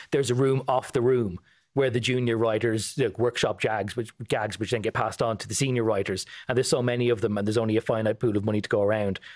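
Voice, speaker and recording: A man with an Irish accent talks at a very fast pace. His intonation is fairly even, and the background is quiet. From Ireland. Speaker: political correspondent. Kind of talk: casual news chat. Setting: studio. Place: studio. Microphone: studio mic.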